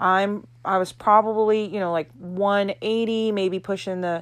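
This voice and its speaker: In a very clean recording with a silent background, a woman with an American accent talks at a fairly slow pace, her medium-pitched voice monotone and flat. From Florida. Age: 30s. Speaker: podcast host and martial arts instructor. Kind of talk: casual monologue.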